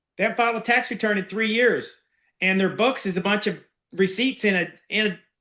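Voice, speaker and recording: A man's raised, projected voice, high-pitched, with a bright, sharp tone and an animated delivery. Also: long, frequent pauses. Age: 50s. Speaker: business acquisition coach. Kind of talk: online master class.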